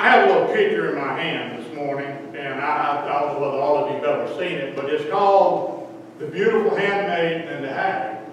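The speaker talks at a fairly quick pace with lively intonation and hardly any pauses, over light background noise and strong room echo. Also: man. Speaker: lay preacher. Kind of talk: sermon. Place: church.

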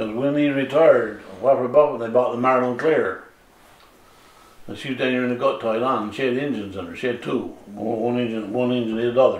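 Over noticeable background noise, a man with a Newfoundland accent talks at a very fast pace, his medium pitch and intonation fairly even. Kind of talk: oral history interview answer.

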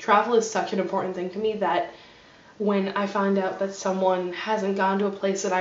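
In an American accent, a woman speaks at a moderate pace with monotone, flat intonation, and room echo is audible. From New Jersey. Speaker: vlogger. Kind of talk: casual vlog monologue; casual vlog chat. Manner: hesitant, many fillers. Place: home room. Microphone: webcam.

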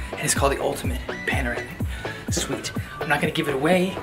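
The talking races along at a very fast pace. Behind it, clear music can be heard. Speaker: vlogger. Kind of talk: casual vlog chat. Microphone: phone near.

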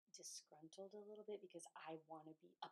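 Against a quiet background, a woman speaks in an ordinary speaking voice with a fairly low pitch and fairly even intonation. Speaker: fan vlogger. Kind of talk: casual vlog chat. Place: home room. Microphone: phone near.

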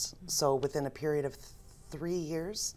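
Her intonation fairly even, a woman does the talking. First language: American Sign Language. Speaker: business owner and sign language interpreter; guest. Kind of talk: interview. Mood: warm, reflective storytelling. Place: studio. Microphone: lapel.

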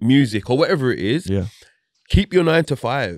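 A man with lively intonation, dry sound free of echo, and a quiet background. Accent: London. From South London, England; London. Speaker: reggae singer; guest. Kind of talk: casual interview chat. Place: studio. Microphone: studio mic.

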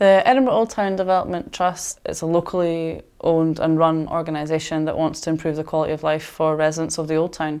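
Against a quiet background, a woman with a Scottish accent talks at a very fast pace with hardly any pauses, a fairly low pitch and fairly even intonation. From Scotland. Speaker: community worker. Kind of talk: interview. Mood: frustrated, reflective. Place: home room. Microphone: lapel.

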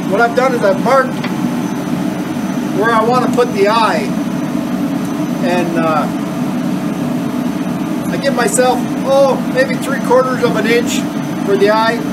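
A man talking at a fairly slow pace with long, frequent pauses over loud background noise. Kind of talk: tutorial. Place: workshop. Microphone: camera far.

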